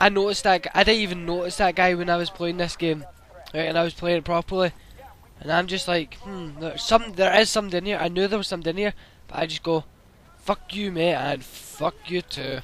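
High-pitched male voice at a fairly quick pace, fairly even in intonation, with noticeable background noise. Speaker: gaming YouTuber. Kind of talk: gameplay commentary. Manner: casual, hesitant with fillers.

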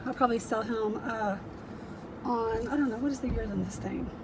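A woman speaks at a fairly quick pace with fairly even intonation, against noticeable background noise. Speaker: reseller vlogger. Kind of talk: casual vlog chat. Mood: cheerful, chatty. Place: car. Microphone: phone near.

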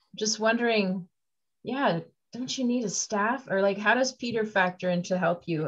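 Somewhat breathy and enthusiastic in tone, a woman speaks with ordinary pitch variation over a quiet background. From North America. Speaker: podcast host. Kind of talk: casual interview. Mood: warm, enthusiastic. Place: home room. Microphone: video call.

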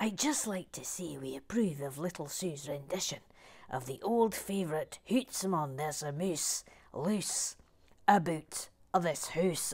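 A put-on character voice with a Scottish accent speaks at a middle pitch and moderate pace. The recording is very clean with a silent background. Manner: playful, comic.

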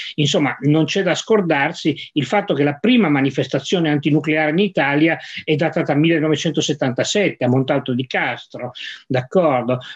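Against a quiet background, a man with a fairly high pitch speaks at a moderate pace, keeping very even loudness and ordinary pitch variation. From Piedmont, Vercelli province; Piedmont. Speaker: science journalist. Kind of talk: moderated discussion. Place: office. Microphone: video call.

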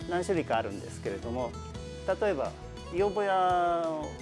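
Over clear background music, a man with a high voice talks at a moderate pace, his pitch swinging very widely. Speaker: employment support facility staff. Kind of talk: interview answer. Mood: calm, polite, friendly. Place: workshop.

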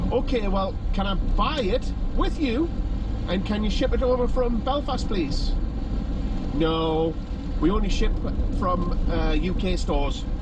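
A man speaks fairly slowly, pausing long and often, while loud noise fills the background. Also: dry sound with no echo. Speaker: vlogger. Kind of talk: casual vlog chat, retelling a story. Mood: exasperated, sarcastic. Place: car. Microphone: phone near.

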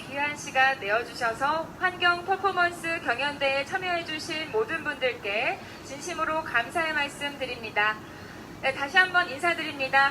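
Raising and projecting her voice, a woman speaks at a high pitch with ordinary pitch variation and a moderate pace. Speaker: announcer and event host. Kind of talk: event MC hosting.

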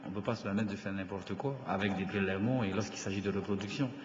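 The intonation stays fairly even, with noticeable background noise and audible room echo. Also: man. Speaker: government minister. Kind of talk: formal assembly debate. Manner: halting, many hesitations.

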